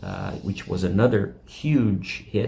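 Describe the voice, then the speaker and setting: A man's fairly low voice with a non-native accent and vocal fry, ordinary pitch variation, and audible room echo. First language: not English. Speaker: YouTube rock music channel host. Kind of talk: casual video commentary. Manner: halting, many fillers.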